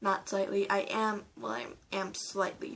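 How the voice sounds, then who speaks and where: The speaker is a woman. She talks at a very slow pace. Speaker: vlogger. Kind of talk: storytelling vlog. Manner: halting, many repeats and fillers.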